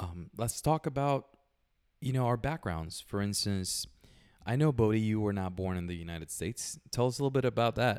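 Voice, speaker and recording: Speaking at a fairly quick pace in a Puerto Rican accent, a man with a fairly low pitch uses lively intonation on a very clean recording with a silent background. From Puerto Rico. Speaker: podcast co-host. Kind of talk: casual chat.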